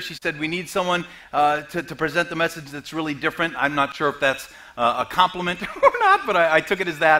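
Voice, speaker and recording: Speech runs at a very fast pace with ordinary pitch variation. Noticeable background noise sits behind it. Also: man. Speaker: comedian and motivational speaker. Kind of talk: sermon. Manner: halting.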